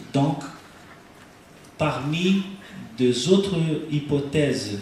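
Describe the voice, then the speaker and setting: Speaking very slowly with a non-native accent, a man with a fairly high pitch and ordinary pitch variation is heard amid audible room echo and noticeable background noise. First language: Portuguese (speaking French). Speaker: researcher presenting neuroimaging study. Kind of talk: conference lecture. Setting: stage with audience at congress. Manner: halting, hesitant.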